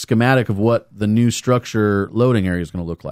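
This is an ordinary speaking voice from a man, fairly low in pitch with ordinary pitch variation. He goes at a moderate pace, and the sound is dry and close with no echo. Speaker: podcast co-host. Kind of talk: casual chat.

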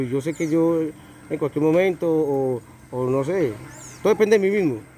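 Fairly quick, fairly high-pitched male speech with ordinary pitch variation. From Colombia, Puerto Boyacá. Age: 20s. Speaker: homeless man, drug user. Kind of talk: street interview. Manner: halting, many repetitions.

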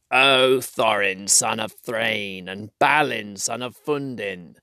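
Doing a croaky put-on character voice, a man speaks at medium pitch and a very slow pace.

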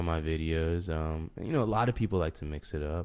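Heard in a very clean recording with a silent background, a man with a very deep, low pitch speaks at a fairly quick pace with ordinary pitch variation. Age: 20s. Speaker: YouTuber, podcast co-host. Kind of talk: casual chat. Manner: talks louder than last episode.

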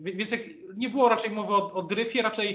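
This is a man speaking. His pace is moderate. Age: 30s. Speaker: political journalist. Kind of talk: interview. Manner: halting, many repetitions.

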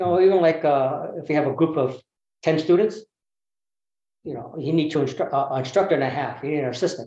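A dark, mellow tone at a very fast pace, broken by long, frequent pauses, with ordinary pitch variation. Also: man, fairly high pitch for a man. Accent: Californian. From US West Coast, Berkeley, California. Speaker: bonsai teacher. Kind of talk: casual interview.

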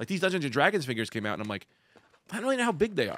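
A man speaks here. His tone is animated. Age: 40s. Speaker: podcast host. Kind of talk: casual chat.

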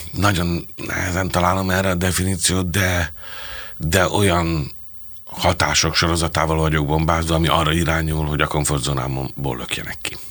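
A man speaks at a moderate pace in a very deep, low pitch. His intonation stays fairly even. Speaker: theatre director and playwright. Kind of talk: interview conversation.

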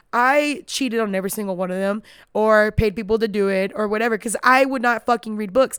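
On a very clean recording with a silent background, a woman talks at a very fast pace in an animated tone, fairly high-pitched with ordinary pitch variation. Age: 20s. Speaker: podcast host. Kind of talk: casual monologue.

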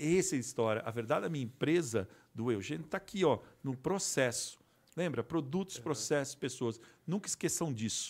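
An ordinary speaking voice from a man, fairly high in pitch, with lively intonation and a fairly quick pace, on a very clean recording with a silent background. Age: 50s. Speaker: resin artisan and manufacturer. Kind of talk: casual interview.

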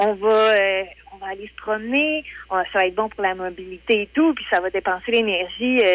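The speaker talks at a moderate pace with ordinary pitch variation. The loudness swings widely. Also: woman. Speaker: weekly columnist. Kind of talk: radio column chat. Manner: hesitant, many fillers.

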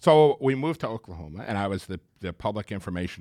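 A man talks at a very fast pace with ordinary pitch variation. The sound is dry and close with no echo, in a very clean recording with a silent background. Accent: American. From US Northeast, Long Island, New York. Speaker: city government official, former broadcast journalist. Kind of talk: casual interview.

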